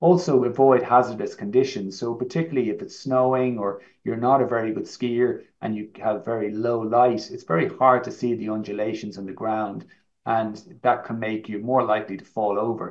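Loudness swings widely as a man with an Irish accent speaks at a moderate pace. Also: ordinary pitch variation, quiet background. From Ireland. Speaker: orthopaedic knee surgeon, professor; professor. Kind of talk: medical presentation. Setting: online live event. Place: home room. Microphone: webcam.

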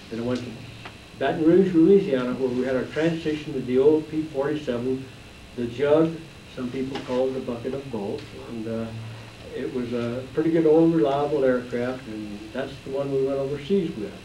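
A medium-pitched male voice with an American accent, a moderate pace and ordinary pitch variation, plus audible room echo and light background noise. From Utah. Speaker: war veteran. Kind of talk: talk to audience. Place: classroom.

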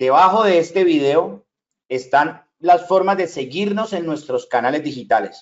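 Against a quiet background, a man with a high pitch speaks at a fairly slow pace with lively intonation. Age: 40s. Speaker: online business trainer. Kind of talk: sales pitch. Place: home room.

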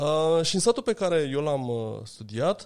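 Lively intonation from a man, very clean recording, silent background. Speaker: anthropologist and lecturer. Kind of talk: interview conversation. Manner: direct and persuasive.

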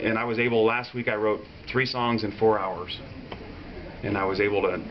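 A man's fairly low voice at a moderate pace, with long, frequent pauses, monotone, flat intonation and light background noise. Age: 30s. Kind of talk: interview answer. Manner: casual, conversational. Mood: warm, reflective. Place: home room.

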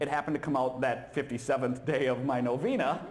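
The man's delivery moves at a moderate pace. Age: 30s. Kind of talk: humorous talk at a conference. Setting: stage with audience. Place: hall. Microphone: handheld.

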